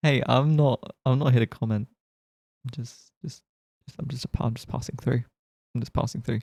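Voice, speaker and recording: A man with a British accent speaks at a fairly quick pace and medium pitch, somewhat breathy, with fairly even intonation and big swings in loudness. Long, frequent pauses recur, and the sound is dry and close with no echo. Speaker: streamer. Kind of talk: casual chat.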